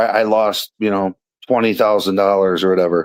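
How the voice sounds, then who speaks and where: The speaker is a man. He talks at a moderate pace. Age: 40s. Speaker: caller. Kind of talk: casual chat. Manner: halting.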